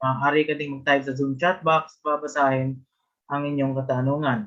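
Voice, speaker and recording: A man's fairly high, bright, sharp voice at a fairly quick pace, with a Filipino accent. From Philippines. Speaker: webinar host. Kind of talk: event hosting. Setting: video call.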